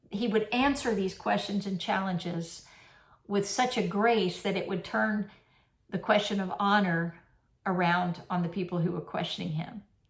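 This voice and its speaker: At a moderate pace, a woman with a medium pitch and a somewhat breathy voice speaks with fairly even intonation. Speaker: minister. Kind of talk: sermon. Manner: conversational.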